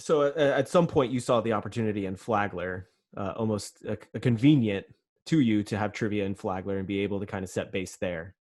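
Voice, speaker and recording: This man has a plain, everyday voice, fairly low in pitch, with ordinary pitch variation and a fairly quick pace. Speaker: podcast host. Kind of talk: podcast interview hosting.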